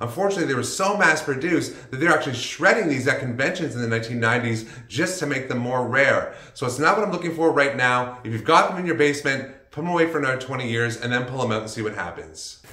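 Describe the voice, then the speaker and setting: Over audible room echo, a man talks at a very fast pace with hardly any pauses. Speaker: vlogger. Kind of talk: casual vlog commentary. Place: home room.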